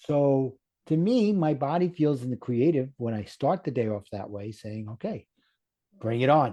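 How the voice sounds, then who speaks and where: A man with a Brooklyn accent speaks at a moderate pace, his tone dark and mellow and his intonation lively. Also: medium pitch for a man. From US Northeast (Brooklyn, New York). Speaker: life coach. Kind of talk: podcast interview. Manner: animated.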